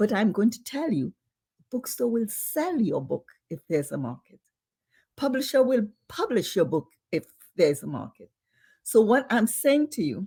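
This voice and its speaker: Her dark, mellow tone carries vocal fry and very wide pitch swings. The woman talks at a moderate pace with long, frequent pauses. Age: old. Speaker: novelist and professor. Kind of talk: interview conversation.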